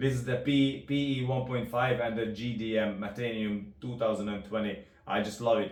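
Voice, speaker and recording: With a Hungarian accent, a man talks at a medium pitch in a fairly even intonation. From Hungary. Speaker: rod builder. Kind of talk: product demonstration. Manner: halting.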